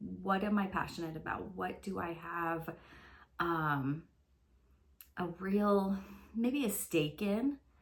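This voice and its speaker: Very slowly, a woman speaks at a fairly low pitch with ordinary pitch variation. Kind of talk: casual talk to camera. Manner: hesitant, conversational.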